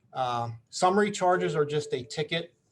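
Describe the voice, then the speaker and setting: A man talks with a fairly high pitch and a somewhat breathy sound. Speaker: police officer. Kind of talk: community meeting presentation. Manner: fast, rambling.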